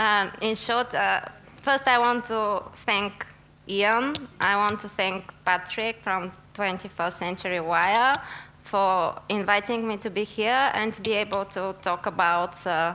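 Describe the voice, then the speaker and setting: The voice has a bright, sharp tone, ordinary pitch variation and a fairly slow pace. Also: woman, medium pitch for a woman. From Bulgaria. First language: Bulgarian. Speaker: investigative journalist. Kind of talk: conference talk. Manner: hesitant, many fillers.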